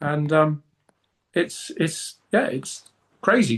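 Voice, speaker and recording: Over a quiet background, a man with a British accent talks at a fairly high pitch. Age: 50s. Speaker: fitness coaching client. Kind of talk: interview.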